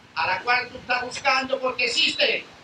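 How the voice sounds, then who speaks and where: An extremely high-pitched man in a raised, projected voice over noticeable background noise. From Spain. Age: 70s. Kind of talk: testimony.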